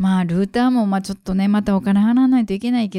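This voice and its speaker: A woman's medium-pitched voice is dark and mellow, with fairly even intonation. The recording is very clean, with a silent background and a dry, close sound with no echo. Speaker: jazz singer and podcaster. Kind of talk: casual solo monologue. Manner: unscripted, many fillers and pauses.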